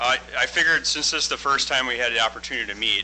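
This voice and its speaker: This man talks at a very fast pace. Background noise is noticeable. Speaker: construction project manager. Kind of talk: business presentation.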